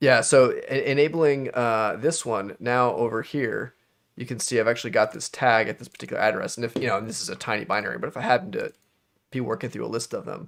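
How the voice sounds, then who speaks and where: Speaking very fast with vocal fry, a man at a medium pitch shows ordinary pitch variation and big swings in loudness. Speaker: software developer presenting on live stream. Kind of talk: live-streamed software tutorial. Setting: live video stream.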